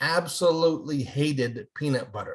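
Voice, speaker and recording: A man with an ordinary speaking voice, fairly high in pitch, with ordinary pitch variation. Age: 60s. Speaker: retired elementary school principal and author. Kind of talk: casual interview chat.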